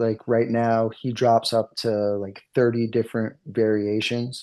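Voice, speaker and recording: A man with a New England accent speaks at a medium pitch. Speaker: card artist. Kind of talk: interview.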